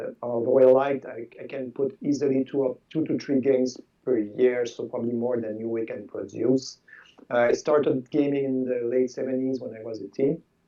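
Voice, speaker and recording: A man speaks at a moderate pace and medium pitch with monotone, flat intonation and big swings in loudness. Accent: Quebec French. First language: French. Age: 60s. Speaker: board game designer. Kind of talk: interview. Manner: halting, repeats words.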